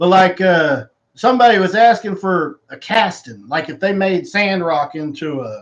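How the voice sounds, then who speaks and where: A man with an American accent and high pitch, at a fairly slow pace with lively intonation and big swings in loudness. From Southeast Texas (Woodville). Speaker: voice actor at a fan signing livestream. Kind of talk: casual livestream chat and Q&A. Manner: rambling, relaxed.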